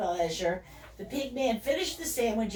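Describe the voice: Plain reading aloud is delivered with lively intonation.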